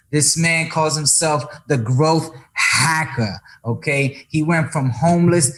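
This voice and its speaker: Somewhat breathy delivery with an American accent and ordinary pitch variation. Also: man. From New York, the Bronx (Dominican parents). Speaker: podcast host, actor and musician. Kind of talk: casual interview. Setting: at home, living room. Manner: animated.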